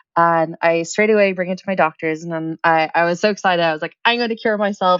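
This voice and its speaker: With an American accent, a woman talks at a very fast pace in a fairly low pitch. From Ireland, Dublin. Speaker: startup founder. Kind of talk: podcast interview. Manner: energetic.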